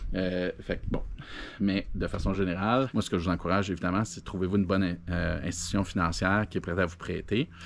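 Over light background noise, a man with a Quebec accent speaks at a very deep, low pitch. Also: fairly even intonation, fairly quick pace. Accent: Québécois French. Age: 40s. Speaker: entrepreneur, video blogger; video blogger. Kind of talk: casual monologue. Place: garden. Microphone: phone near.

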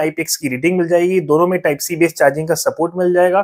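Against a quiet background, a man talks at a fairly quick pace in a high pitch. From India. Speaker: tech reviewer youtuber. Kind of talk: product review. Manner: casual conversational. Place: home room. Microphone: lapel.

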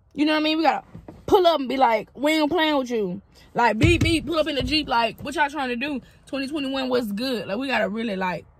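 A woman's high, very fast voice in a Southern US accent, with very wide pitch swings and a dry sound with no echo. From Mississippi, USA. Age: 20s. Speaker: comedian. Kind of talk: casual vlog talk to camera. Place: car. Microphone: phone near.

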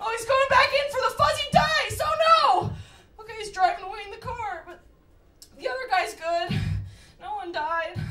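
A raised, projected voice sweeps through very wide pitch swings over light background noise. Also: woman. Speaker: stand-up comedian. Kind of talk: stand-up comedy bit, acting out a news reporter. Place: stage.

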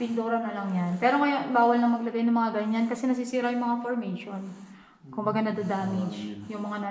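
The recording carries audible room echo. There is light background noise as well. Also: woman, fairly even intonation, fairly quick pace. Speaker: cave tour guide. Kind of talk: guided tour explanation. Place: tunnel cave.

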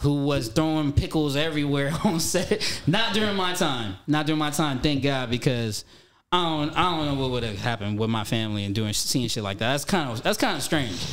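With an American accent, a man talks at a fairly quick pace, hardly pausing at all. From Southern California, Pomona; Southern California. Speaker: actor and rapper; actor. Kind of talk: casual chat. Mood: reflective, calm. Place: studio. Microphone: studio mic.

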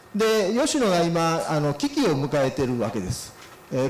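A man talks at a fairly quick pace with very wide pitch swings. Audible room echo and light background noise accompany him. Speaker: forestry company vice president, keynote speaker; keynote speaker. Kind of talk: keynote lecture. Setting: symposium hall. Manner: nervous at start. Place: hall. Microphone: handheld.

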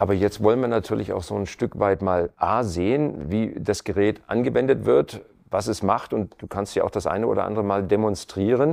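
A man speaks in a plain, everyday voice at a moderate pace, his fairly low pitch moving with ordinary variation and hardly any pauses. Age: middle-aged. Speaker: TV talk show host. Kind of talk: interview. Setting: home living room studio.

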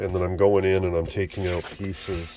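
Noticeable background noise sits under a dry, echo-free recording of speech at a moderate pace. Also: man. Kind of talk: tutorial. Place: workshop. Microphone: phone near.

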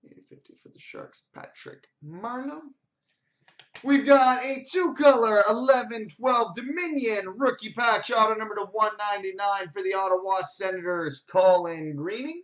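The speaker talks at a very slow pace. The background is quiet. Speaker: sports card break host. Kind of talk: card break commentary, rattling off hits. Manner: repeats each name twice for emphasis. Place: shop. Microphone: webcam.

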